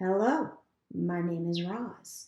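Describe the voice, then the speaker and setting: Using a put-on character voice, a woman pitches it in the middle of her range. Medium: read story. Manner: calm, plain, literal.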